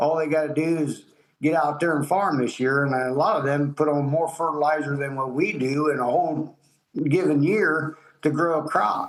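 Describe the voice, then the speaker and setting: A man speaks at a moderate pace with a Midwestern American accent. His pitch sits fairly high, and his intonation stays fairly even. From Ohio. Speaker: farmer. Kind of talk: interview answer. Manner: casual, plain-spoken.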